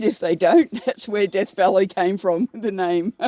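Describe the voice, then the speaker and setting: With an Australian accent, a woman speaks at a moderate pace in a dark, mellow tone with ordinary pitch variation, the sound dry and close with no echo. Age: 60s. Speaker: horticulturist. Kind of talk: casual chat. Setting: outdoors.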